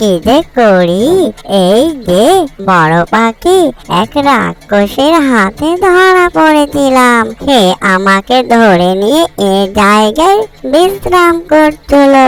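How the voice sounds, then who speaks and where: A female-sounding voice performs a cartoonish character voice, pitched high. The delivery is very slow, with very wide pitch swings. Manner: lively, chatty.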